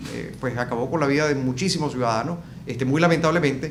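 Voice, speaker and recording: A man with a Venezuelan accent and a fairly high pitch speaks very fast with ordinary pitch variation, amid noticeable background noise and audible room echo. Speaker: event coordinator. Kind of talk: interview. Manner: hesitant, many fillers.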